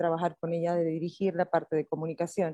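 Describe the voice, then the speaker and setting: At a fairly quick pace, a woman talks in a fairly low, dark, mellow voice, with a dry, close sound and no echo. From Puerto Rico. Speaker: hotel director. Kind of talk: interview.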